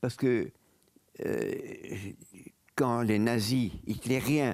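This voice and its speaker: Speaking very slowly, a man talks in a dark, mellow tone. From Belgium, Brussels. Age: 90s. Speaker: Holocaust survivor and lawyer. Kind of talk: interview testimony.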